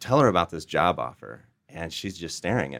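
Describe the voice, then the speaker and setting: A man with a very deep, low voice speaks in an American accent, with vocal fry and lively intonation. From Iowa, US Midwest. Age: 30s. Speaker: entrepreneur, CEO. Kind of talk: interview storytelling.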